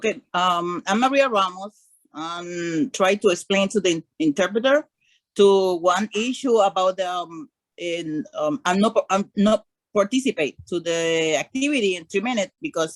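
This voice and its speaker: A woman's medium-pitched voice with a Spanish accent, lively intonation and a moderate pace, the sound dry and close with no echo. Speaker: workshop participant. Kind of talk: complaint in online meeting. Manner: halting in English.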